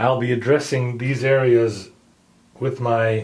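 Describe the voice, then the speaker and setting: A somewhat breathy man's voice at medium pitch and very slow pace, with audible room echo. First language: not English. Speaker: hobbyist tutorial maker. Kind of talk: tutorial. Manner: casual, hesitant with fillers.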